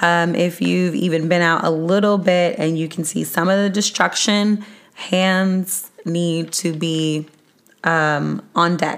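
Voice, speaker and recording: A loud woman speaks very slowly in a fairly low pitch, her intonation monotone and flat. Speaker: podcast host. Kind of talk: podcast monologue sharing resources. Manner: trying to talk louder.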